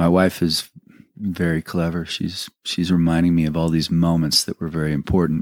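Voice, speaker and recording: Speaking at a moderate pace in monotone, flat intonation, a man with a very deep, low pitch comes through on a very clean recording with a silent background and a dry, close sound with no echo. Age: 50s. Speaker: musician. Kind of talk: interview. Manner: halting.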